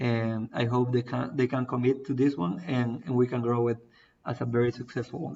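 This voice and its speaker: A man with a Spanish accent, medium in pitch and fairly quick in pace. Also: fairly even intonation. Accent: non-native English, Spanish. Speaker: crypto project founder. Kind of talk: live AMA Q&A. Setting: online stream. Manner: halting, many fillers.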